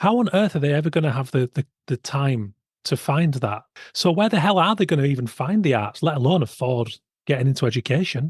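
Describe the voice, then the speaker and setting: Somewhat breathy and fairly quick, the speech carries a Yorkshire accent and lively intonation. The sound is dry and close, with no echo. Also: man, fairly high pitch for a man. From West Yorkshire, England. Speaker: podcast host, illustrator. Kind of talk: podcast interview.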